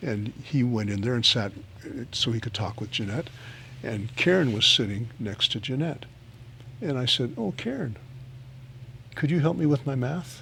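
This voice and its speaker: A man's medium-pitched voice with a bright, sharp tone, a moderate pace, ordinary pitch variation, and long, frequent pauses. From West Africa. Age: 60s. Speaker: pastor living with Parkinson's. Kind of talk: interview. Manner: halting.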